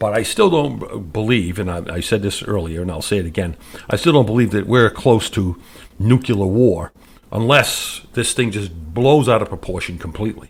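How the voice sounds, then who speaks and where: Somewhat breathy and fairly low in pitch, a man with an American accent speaks at a moderate pace with lively intonation. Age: 60s. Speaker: talk radio host. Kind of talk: political commentary monologue. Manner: halting, many fillers and repetitions.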